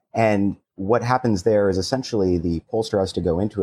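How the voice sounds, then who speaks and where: Speaking at a fairly quick pace, a man with a very deep, low pitch and a dark, mellow tone shows ordinary pitch variation in a dry, close sound with no echo. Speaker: city chief data officer. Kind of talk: casual panel discussion.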